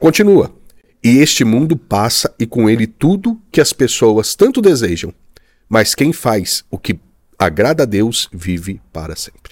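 Recorded very cleanly with a silent background and a dry, close sound with no echo, a man at medium pitch makes very wide pitch swings. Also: fairly slow pace. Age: 40s. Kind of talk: casual chat.

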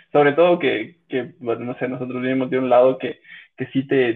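A man with a medium-pitched voice talks at a fairly quick clip. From Ecuador, Cuenca. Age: 30s. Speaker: podcast guest. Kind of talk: casual chat. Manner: halting, many repetitions.

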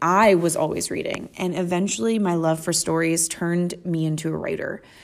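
With an American accent, a woman has a normal speaking voice, a fairly low pitch, a moderate pace and fairly even intonation. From Western Pennsylvania, US. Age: 30s. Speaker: podcast host, mother. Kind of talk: casual monologue.

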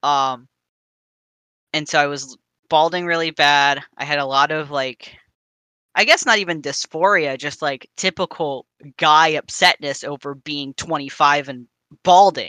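An American accent at a fairly slow pace with long, frequent pauses, on a very clean recording with a silent background. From New Jersey. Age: 30s. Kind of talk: casual chat. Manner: rambling, hesitant with many fillers.

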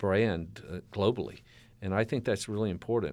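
A man speaks in a fairly low pitch over a quiet background. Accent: Southern US. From US South. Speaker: university president. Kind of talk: interview. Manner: halting.

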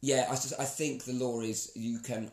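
A plain, everyday voice with fairly even intonation. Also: man. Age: 40s. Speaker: podcast co-host. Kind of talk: casual chat.

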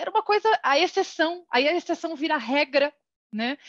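A woman talks at a moderate pace. Her pitch is extremely high. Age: 40s. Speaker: HR executive. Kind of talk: casual interview.

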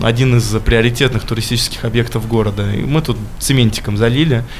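The speech moves at a fairly quick pace. Room echo is audible, and background noise is noticeable. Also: man. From Russia, Michurinsk. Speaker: street artist. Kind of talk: casual interview. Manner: hesitant, many filler sounds.

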